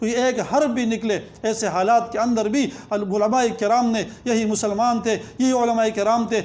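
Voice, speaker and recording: An extremely high-pitched male voice in a monotone, flat delivery. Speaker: Islamic scholar giving a sermon. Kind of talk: Islamic lecture (bayan), passionate sermon. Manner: fervent, rhythmic, emphatic.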